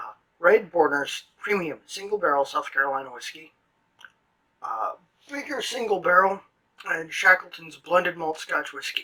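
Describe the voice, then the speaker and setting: A man speaks at a high pitch in a raised, projected voice, with big swings in loudness, lively intonation, a moderate pace and long, frequent pauses. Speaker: whiskey reviewer. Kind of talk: casual review chat. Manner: hesitant, filler-heavy.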